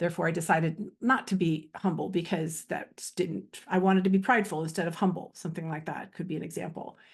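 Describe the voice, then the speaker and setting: The speech is very fast, somewhat breathy and has fairly even intonation. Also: woman, fairly low pitch for a woman. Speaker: spiritual coach and energy healer. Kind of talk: casual spoken video monologue. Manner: free-flowing, many fillers.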